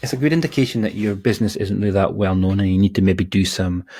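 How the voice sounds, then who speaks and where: Soft-spoken and fairly low-pitched, a man talks at a fairly quick pace with ordinary pitch variation. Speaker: digital marketing consultant. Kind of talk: tutorial. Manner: halting.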